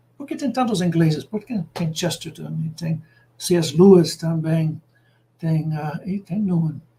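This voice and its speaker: A man with a high, dark, mellow voice speaks fairly slowly with ordinary pitch variation. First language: English (speaking Portuguese). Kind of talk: lecture. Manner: halting, many filler sounds.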